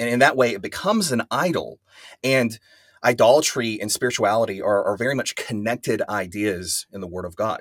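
With an American accent and a plain, everyday voice, a man talks at a fairly quick pace and medium pitch, with ordinary pitch variation and big swings in loudness. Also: dry, close sound with no echo. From West Texas. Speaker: pastor and professor. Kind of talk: interview.

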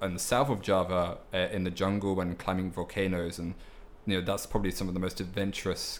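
A man's fairly low voice, monotone and flat in intonation, at a fairly quick pace. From southeast London, raised partly abroad (Netherlands, Indonesia, India). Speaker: English teacher and language school manager. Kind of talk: casual chat.

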